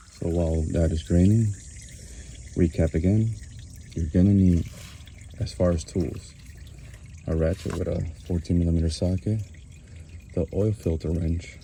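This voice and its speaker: Soft-spoken, somewhat breathy delivery with a dark, mellow tone, fairly even intonation, a moderate pace, and long, frequent pauses. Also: man, very deep, low pitch for a man. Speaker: DIY car mechanic. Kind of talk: tutorial. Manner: casual.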